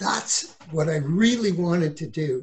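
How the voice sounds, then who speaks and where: In a Canadian accent, a man speaks at a high pitch with ordinary pitch variation. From Ontario, Canada. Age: 60s. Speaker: real estate broker and author. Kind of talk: casual interview.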